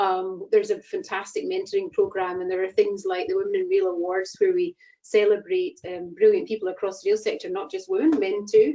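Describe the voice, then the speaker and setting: A woman with a Scottish accent at a fairly quick pace, with hardly any pauses. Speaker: chair of a rail industry network. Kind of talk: online event introduction.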